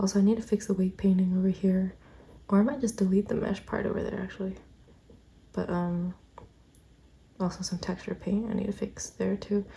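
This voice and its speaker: Soft-spoken speech at a fairly quick pace, broken by long, frequent pauses. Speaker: vlogger and artist. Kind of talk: casual vlog narration. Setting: at home, family sleeping. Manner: quiet, soft-spoken.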